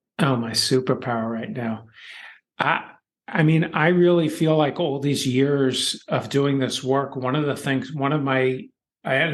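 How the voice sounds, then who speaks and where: A man's fairly high voice in a New York accent, at a moderate pace with ordinary pitch variation. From US Northeast (Philadelphia). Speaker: author and education consultant. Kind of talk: podcast interview.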